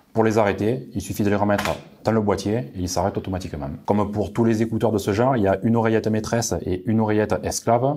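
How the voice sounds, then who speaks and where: A man's fairly low, dark, mellow voice with a southern French accent, at a very fast pace. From southern France. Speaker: tech reviewer. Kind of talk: product review. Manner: frequent hesitations (euh).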